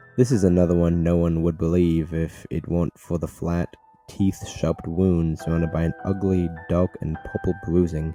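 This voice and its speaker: A man's very deep, low voice at a moderate pace with fairly even intonation, music in the background. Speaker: horror story narrator. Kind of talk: horror story reading. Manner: stuttering, edited.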